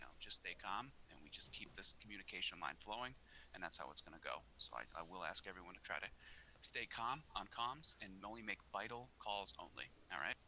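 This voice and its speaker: A man's fairly low voice with a strong Boston accent, bright and sharp in tone, lively intonation and a fairly quick pace. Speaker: gaming clan leader. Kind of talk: battle briefing.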